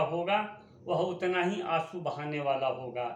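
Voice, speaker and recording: Audible room echo follows a man speaking at a high pitch. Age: 60s. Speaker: writer reading his own essays. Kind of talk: reading aloud. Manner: formal.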